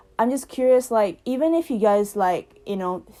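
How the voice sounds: A woman's dark, mellow tone sits at a medium pitch, her intonation lively and her pace moderate.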